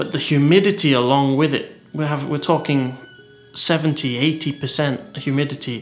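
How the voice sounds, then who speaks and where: With a northern English accent, a man talks at a fairly quick pace in a fairly high voice and fairly even intonation, music playing behind him. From northern England. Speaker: vlogger. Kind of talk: casual vlog talk. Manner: hesitant, with fillers and repetitions.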